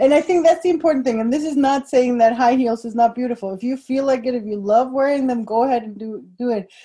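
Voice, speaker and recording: Speaking very fast with hardly any pauses, a woman uses a high pitch and ordinary pitch variation. There is noticeable background noise. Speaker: podcast host. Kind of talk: interview, casual chat.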